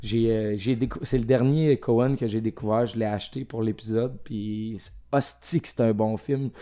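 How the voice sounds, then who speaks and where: In a dark, mellow tone at medium pitch, a man speaks at a very slow pace with fairly even intonation. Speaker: film podcast guest. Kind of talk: casual chat.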